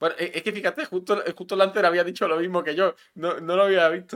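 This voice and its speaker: A man speaks at a moderate pace with a Melilla accent. The recording is very clean, with a silent background. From Melilla, Spain. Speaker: podcast co-host. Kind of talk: casual chat. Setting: live stream.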